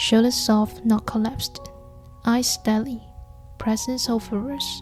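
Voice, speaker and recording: Over music in the background, a woman with a gentle, calm tone speaks at a fairly slow pace, fairly high in pitch, with monotone, flat intonation. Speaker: nurse. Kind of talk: casual talk to camera, personal vlog narration. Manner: soft-spoken, gentle, calm.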